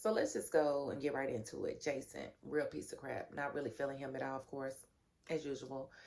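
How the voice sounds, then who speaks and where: A woman speaks at a fairly quick pace. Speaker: TV show reviewer. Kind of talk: casual chat. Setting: home, sleeping grandson in room. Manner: talking low to avoid waking grandson.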